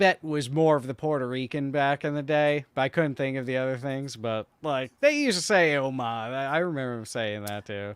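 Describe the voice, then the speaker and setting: With a New York accent, a man with a fairly high pitch talks at a moderate pace with hardly any pauses. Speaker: podcast co-host. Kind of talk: casual chat.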